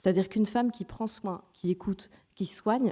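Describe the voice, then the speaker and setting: At a moderate pace, a woman speaks with medium pitch and ordinary pitch variation. Her tone is dark and mellow. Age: 30s. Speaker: journalist and author giving a talk. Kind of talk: conference keynote speech. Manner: hesitant, with fillers and restarts.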